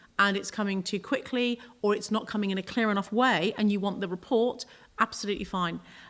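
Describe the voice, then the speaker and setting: In a very clean recording with a silent background, a woman of medium pitch speaks fairly quickly with fairly even intonation. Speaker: police and crime commissioner. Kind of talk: committee meeting answer. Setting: council committee meeting, webcast. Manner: hesitant, repeats words.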